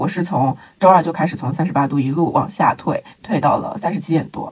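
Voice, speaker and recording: A somewhat breathy woman's voice, fairly low in pitch, at a moderate pace. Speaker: podcast co-host. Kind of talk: casual chat.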